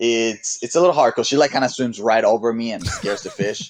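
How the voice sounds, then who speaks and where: The accent is strongly Mexican. Pitch variation stays ordinary. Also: man. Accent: Mexican Spanish accent, strong. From Mexico. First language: Spanish. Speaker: SUP racer and surfer. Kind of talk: casual chat. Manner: halting, many repetitions.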